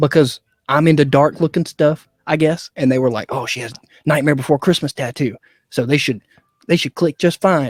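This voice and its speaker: Over music in the background, a man with a Southern accent speaks at a moderate pace with a fairly high pitch and ordinary pitch variation, in a dry, close sound with no echo. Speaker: actor and former musician. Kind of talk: casual interview chat. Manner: casual, frequent fillers.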